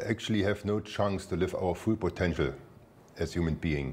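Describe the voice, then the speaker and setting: A man speaks in a German accent at a moderate pace. His pitch is very deep and low, with ordinary variation. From Germany. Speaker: spiritual teacher. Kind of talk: spiritual talk. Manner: halting, repetitive.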